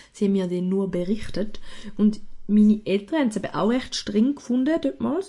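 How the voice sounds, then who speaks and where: Very fast speech from a woman, fairly high-pitched, somewhat breathy and dark, mellow in tone. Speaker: podcast co-host. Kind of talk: casual chat; scripted narration.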